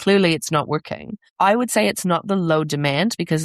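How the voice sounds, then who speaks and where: A woman is speaking. Her voice sounds dry and close, with no echo. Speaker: parent coach and podcast host. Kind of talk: podcast monologue.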